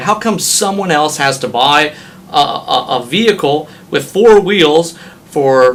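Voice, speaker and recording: Noticeable noise sits in the background behind speech with lively intonation. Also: man. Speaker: auctioneer. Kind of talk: interview answer.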